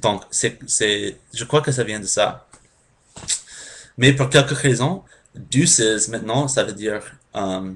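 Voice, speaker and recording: A man with an English accent at a very slow pace, with long, frequent pauses, ordinary pitch variation and a quiet background. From United States. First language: English (speaking French). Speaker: language learner vlogger. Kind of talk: casual explainer vlog. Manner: halting, many hesitations.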